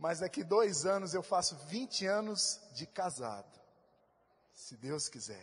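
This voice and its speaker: A man speaks at a very slow pace with a high pitch and lively intonation. His loudness swings widely. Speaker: pastor. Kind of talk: sermon. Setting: church. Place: church. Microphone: handheld.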